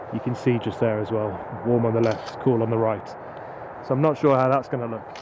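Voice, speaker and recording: A man speaks fairly quickly in a flat monotone, with audible room echo and noticeable background noise. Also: medium pitch for a man. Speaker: drone videographer vlogger. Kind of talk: casual vlog narration. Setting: outdoors at night.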